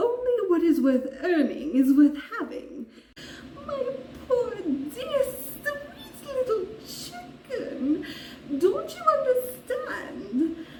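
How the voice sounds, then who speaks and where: A woman's put-on character voice, extremely high in pitch, with very wide pitch swings, a very slow pace, long, frequent pauses and slight echo. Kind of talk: dramatic monologue performance.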